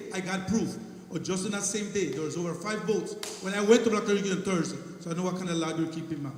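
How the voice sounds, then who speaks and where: Over noticeable background noise and audible room echo, a man talks at a very fast pace in a high voice with fairly even intonation. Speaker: fishing guide. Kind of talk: heated debate. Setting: public consultation meeting. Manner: insistent.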